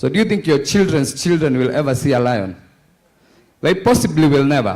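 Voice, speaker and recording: With audible room echo, a man talks at a fairly quick pace and with very wide pitch swings. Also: fairly high pitch for a man, very even loudness. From Kenya. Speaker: conference panelist. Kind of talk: panel discussion.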